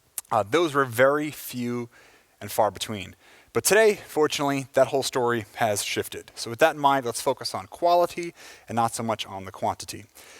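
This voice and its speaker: A man with a plain, everyday voice talks fairly quickly at medium pitch, his intonation lively and his loudness swinging widely. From United States. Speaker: software engineer giving a conference talk. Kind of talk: conference talk. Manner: casual, with many filler words.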